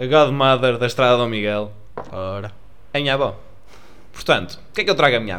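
In a room with audible echo, a man of medium pitch talks at a fairly quick pace, his loudness swinging widely and his speech broken by long, frequent pauses. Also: ordinary pitch variation. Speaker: podcast co-host. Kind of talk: casual chat.

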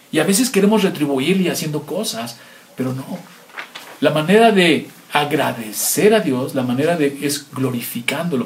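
Fairly slow speech from a man with very wide pitch swings, with audible room echo and noticeable background noise. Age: 50s. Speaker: pastor. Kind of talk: sermon.

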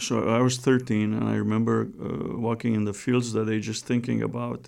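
The speaker has a Romanian accent. The pace is moderate. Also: man. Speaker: theology professor. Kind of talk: testimony.

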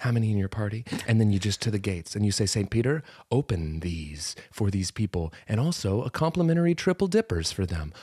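A man's dark, mellow, somewhat breathy voice at fairly low pitch with very wide pitch swings, fairly quick with hardly any pauses, in a dry, close sound with no echo. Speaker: comedy podcast co-host. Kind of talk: casual comedic banter. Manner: animated, joking.

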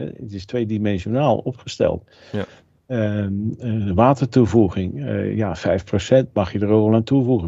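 Speaking at a fairly slow pace, a man has a fairly low pitch, ordinary pitch variation, and a dark, mellow tone. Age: 60s. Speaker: food technologist and author. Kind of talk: interview.

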